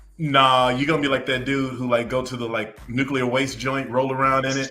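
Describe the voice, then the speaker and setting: A man speaks at a fairly quick pace and medium pitch. His intonation is flat and monotone, with noticeable background noise. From US South, Macon, Georgia. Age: 40s. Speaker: talk show host and former journalist. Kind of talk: casual chat.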